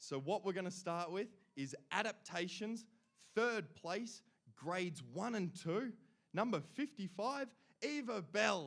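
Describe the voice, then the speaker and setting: With an Australian accent, a man speaks at a fairly slow pace in an animated tone, his high pitch carried by lively intonation. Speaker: awards emcee. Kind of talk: awards ceremony announcing. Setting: stage with audience.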